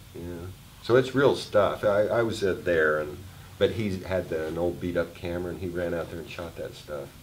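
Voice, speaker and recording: A man's very deep, low voice at a moderate pace, with ordinary pitch variation, big swings in loudness and audible room echo. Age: 60s. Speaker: film director. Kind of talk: festival Q&A after screening.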